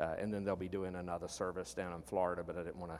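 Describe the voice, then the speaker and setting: A man speaks with a Southern US accent. His pitch is very deep and low. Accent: Southern American. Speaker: pastor. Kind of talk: sermon. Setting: church service, live-streamed.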